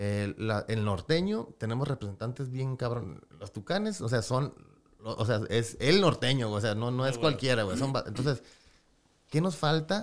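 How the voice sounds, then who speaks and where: Using lively intonation at a moderate pace, a man with an unremarkable speaking voice talks at a medium pitch. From Tijuana, Mexico. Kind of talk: casual chat.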